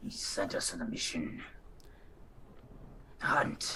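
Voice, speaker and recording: Doing a put-on character voice, a man speaks fairly slowly in an extremely high, raspy pitch over clear background noise. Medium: actual play. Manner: terse, clipped sentences.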